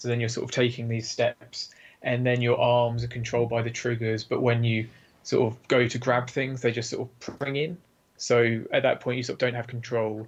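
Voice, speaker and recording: A man with an English accent, somewhat breathy, with monotone, flat intonation. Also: medium pitch for a man, moderate pace. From UK. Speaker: game developer. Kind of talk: casual chat.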